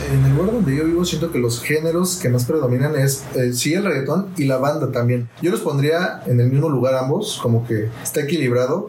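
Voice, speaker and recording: A man speaks at a fairly quick pace with very even loudness and hardly any pauses over noticeable background noise. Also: fairly high pitch for a man, ordinary pitch variation. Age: 20s. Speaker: interviewee, young listener. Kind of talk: casual interview.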